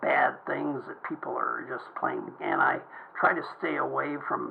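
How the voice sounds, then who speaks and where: A man with an American accent talks at a fairly slow pace. There is noticeable background noise. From Southern California. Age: 60s. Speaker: vlogger, veteran. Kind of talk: personal video monologue. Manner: halting, repetitive.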